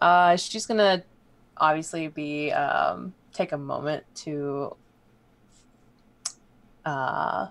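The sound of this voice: A woman with a low pitch speaks at a very slow pace with long, frequent pauses, vocal fry, and ordinary pitch variation.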